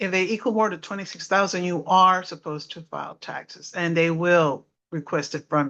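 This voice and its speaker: A woman with an American accent talks in a plain, everyday voice at a fairly low pitch, moderate pace and ordinary pitch variation. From South Texas. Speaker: former government tax worker giving talk. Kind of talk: informational talk.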